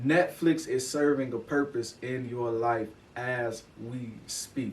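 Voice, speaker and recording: With an animated tone, a man speaks. His voice is somewhat breathy. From Chicago west side and Oak Park suburb. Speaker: podcast host, motivational speaker. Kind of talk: motivational podcast monologue.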